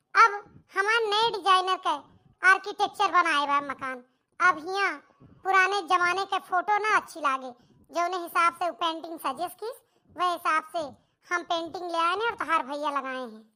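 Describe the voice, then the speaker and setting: A woman performs a cartoonish character voice, squeaky and extremely high in pitch. She keeps a moderate pace. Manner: dismissive.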